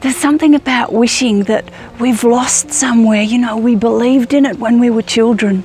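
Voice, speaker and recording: A woman speaks at a fairly quick pace with very even loudness. Music plays in the background. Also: fairly high pitch for a woman, fairly even intonation. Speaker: self-help vlogger. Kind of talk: inspirational vlog monologue. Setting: outdoors in a forest.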